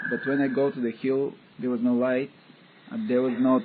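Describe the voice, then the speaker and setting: Ordinary pitch variation marks a man's medium-pitched speech at a moderate pace. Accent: non-native. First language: not English. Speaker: audience member asking questions. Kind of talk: question and answer session. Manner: halting.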